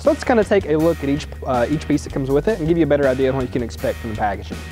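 A man talks at a very fast pace. Behind him, clear music is playing. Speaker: presenter. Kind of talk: product tutorial. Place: garage. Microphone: lapel.

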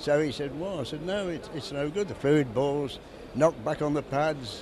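Noticeable background noise behind a man, the sound dry and without echo. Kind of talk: interview answer. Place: hall. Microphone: handheld.

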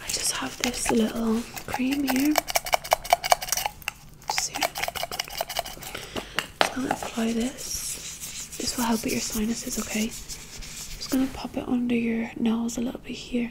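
A soft-spoken woman with a gentle tone, a fairly slow pace and long, frequent pauses, over loud background noise. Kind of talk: soft-spoken roleplay. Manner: soft, gentle ASMR murmur. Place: home room. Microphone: phone near.

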